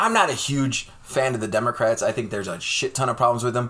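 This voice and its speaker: Here is a man with an unremarkable speaking voice at a medium pitch. He talks at a fairly quick pace. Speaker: podcast co-host. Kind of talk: heated debate. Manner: angry, ranting, profane.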